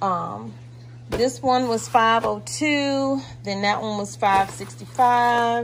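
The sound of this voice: A woman speaks at a slow pace with fairly even intonation.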